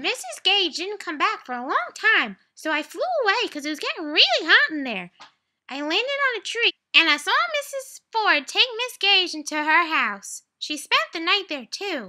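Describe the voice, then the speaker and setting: A woman's put-on character voice, squeaky and extremely high-pitched, with very wide pitch swings. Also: moderate pace. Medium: read story.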